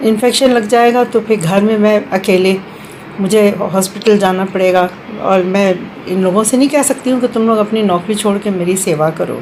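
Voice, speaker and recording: Over noticeable background noise, a woman talks at a medium pitch with ordinary pitch variation and very even loudness. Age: 70s. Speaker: retired official, senior citizen. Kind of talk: personal testimony. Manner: halting, many fillers.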